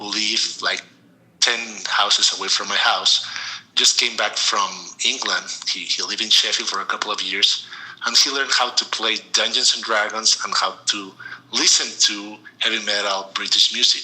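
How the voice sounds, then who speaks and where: With a Mexican accent, a man speaks at a fairly low pitch and a moderate pace, his intonation monotone and flat. Long, frequent pauses break up his speech, and noticeable background noise runs underneath. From Mexico City, Mexico. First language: Spanish. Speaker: storytelling podcast guest. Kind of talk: interview. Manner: halting.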